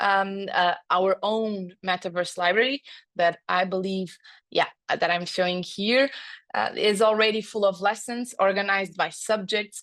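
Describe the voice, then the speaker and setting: A woman's medium-pitched voice, fairly even in intonation, at a fairly slow pace over a quiet background. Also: very even loudness. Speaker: edtech lead at school group. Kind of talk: online guest talk. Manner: halting, many fillers.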